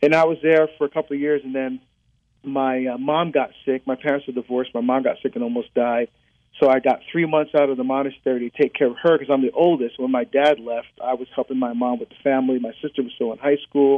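Very fast speech in a New Jersey accent with fairly even intonation. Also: man, medium pitch for a man. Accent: New Jersey American. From New Jersey, born in Barbados. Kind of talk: interview.

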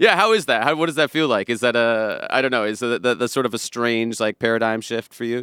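Speaking with an American accent, a man talks at a very fast pace with hardly any pauses, at medium pitch with ordinary pitch variation. His tone is bright and sharp, and the sound is dry and close with no echo. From US Pacific Northwest, Seattle area. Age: 30s. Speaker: podcast host and musician. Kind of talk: casual chat.

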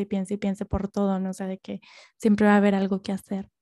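A woman's voice has a dark, mellow tone. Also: dry, close sound with no echo. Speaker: podcast host. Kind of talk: casual monologue. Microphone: new microphone, first recording with it.

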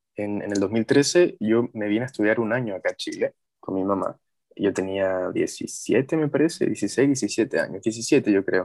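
Fairly slow male speech, dry and close with no echo. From Mexico. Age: 20s. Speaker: journalism student and HIV activist. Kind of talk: casual interview conversation.

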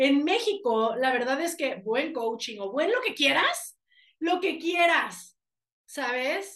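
The speech moves at a very slow pace in a Mexican accent. Its pitch swings very widely. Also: woman, high pitch for a woman. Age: 30s. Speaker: life coach and speaker. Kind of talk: interview conversation.

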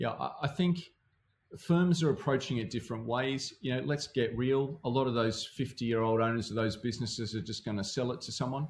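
This man's voice is somewhat breathy and medium in pitch. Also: ordinary pitch variation, fairly quick pace. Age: 50s. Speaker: financial planning consultant and founder. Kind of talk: podcast interview. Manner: animated.

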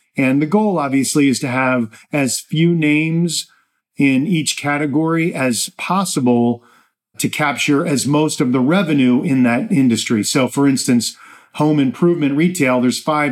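A man with a normal speaking voice and an American accent, fairly high in pitch, at a moderate pace with ordinary pitch variation. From New Jersey. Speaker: podcast host and portfolio manager. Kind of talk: solo investment commentary.

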